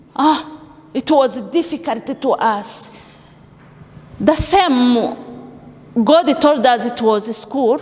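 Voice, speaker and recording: A woman with a non-native accent speaks very slowly at a high pitch, leaving long, frequent pauses. Noticeable background noise runs behind her. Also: ordinary pitch variation. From Africa. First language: not English. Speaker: refugee giving church testimony. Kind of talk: testimony. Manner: halting.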